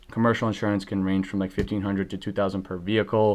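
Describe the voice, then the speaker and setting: A man with a very deep, low pitch talks at a very fast pace. His intonation is monotone and flat against a quiet background. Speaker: moving company owner giving business advice. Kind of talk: tutorial. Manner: casual, with many fillers.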